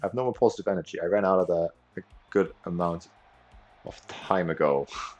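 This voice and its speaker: Over music in the background, a man with a very deep, low pitch talks at a very fast pace with lively intonation. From Austria. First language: German. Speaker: video game streamer. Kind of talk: live gameplay commentary and chat. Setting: livestream. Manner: animated.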